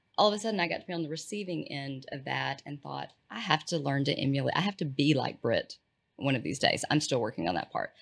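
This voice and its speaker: Words pour out very fast in a Texan accent, with vocal fry and lively intonation. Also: woman, very deep, low pitch for a woman, very clean recording, silent background. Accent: Texan (US Southern). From East Texas. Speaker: healthcare strategy consultant. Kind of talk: casual interview chat.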